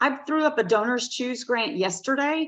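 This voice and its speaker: In a Southern US accent, a woman talks with ordinary pitch variation over a quiet background. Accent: Southern US, noticeable. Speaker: teacher. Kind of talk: webinar presentation.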